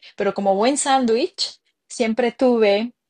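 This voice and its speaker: A woman at a very slow pace with ordinary pitch variation, in a dry, close sound with no echo and a quiet background. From Mexico City. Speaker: entrepreneur. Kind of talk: interview. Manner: halting.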